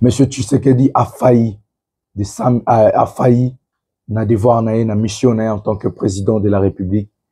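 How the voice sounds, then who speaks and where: At a fairly slow pace, a man with a medium pitch and a dark, mellow tone speaks in a somewhat breathy voice with fairly even intonation. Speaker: political commentator. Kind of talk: political commentary monologue. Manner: subdued, not forceful.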